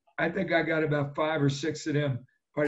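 Speaking in a New Jersey accent, a man uses a fairly high pitch. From New Jersey (Jersey Shore). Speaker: retired pro football player. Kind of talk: interview.

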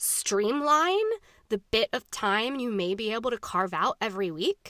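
Recorded very cleanly against a silent background, a bright, sharp voice moves at a fairly slow pace with very wide pitch swings and a dry, close sound with no echo. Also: woman. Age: 30s. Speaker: podcast host. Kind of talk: casual solo monologue. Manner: rambling, many fillers.

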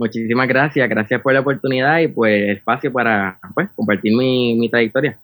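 A man with a Puerto Rican accent, hardly any pauses, very even loudness and ordinary pitch variation. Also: medium pitch for a man, moderate pace. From Puerto Rico, Arecibo. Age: 20s. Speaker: saxophonist, music student. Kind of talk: interview. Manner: halting, many fillers.

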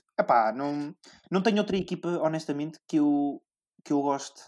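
With a plain, everyday voice, a man speaks at a fairly quick pace in a fairly high pitch with ordinary pitch variation on a very clean recording with a silent background. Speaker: podcast host and sports journalist. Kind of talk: casual chat.

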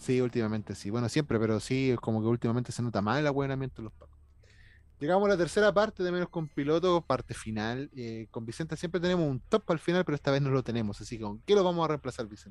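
Speaking at a very fast pace, a man with a medium pitch uses lively intonation and big swings in loudness. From Chile. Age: 30s. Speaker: podcast host. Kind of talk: casual chat.

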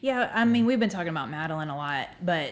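A woman with a Southern US accent talks with lively intonation on a very clean recording with a silent background. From Alabama, Northport. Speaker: church member and parent. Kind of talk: casual chat.

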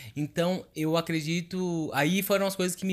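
A man talks at a fairly slow pace on a very clean recording, silent background. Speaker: podcast co-host. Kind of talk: casual chat. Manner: animated.

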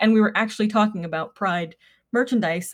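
The voice is somewhat breathy. It belongs to a woman. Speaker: podcast co-host. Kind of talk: casual chat.

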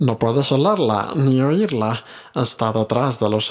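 Ordinary pitch variation comes through in an unforced reading voice.

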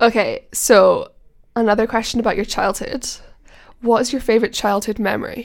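Pitched fairly high, a woman talks in an unremarkable speaking voice, her pitch varying in an ordinary way. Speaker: guest interviewer. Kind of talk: casual chat.

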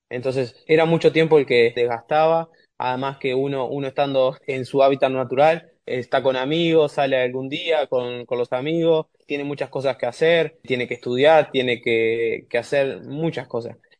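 A man speaks in an unremarkable speaking voice at a moderate pace and medium pitch. His intonation is fairly even, and he hardly pauses. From Uruguay. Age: 20s. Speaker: rower. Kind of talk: interview.

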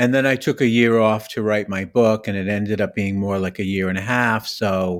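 A man's unremarkable speaking voice, fairly low in pitch with fairly even intonation. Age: 60s. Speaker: author, recovery speaker. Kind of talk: casual interview chat. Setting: remote audio call.

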